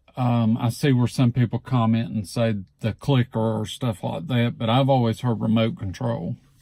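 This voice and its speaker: A man with an Alabama accent, medium pitch, ordinary pitch variation, a moderate pace and hardly any pauses. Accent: Southern US (Alabama). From Southeast Alabama, USA. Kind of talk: casual talk to camera.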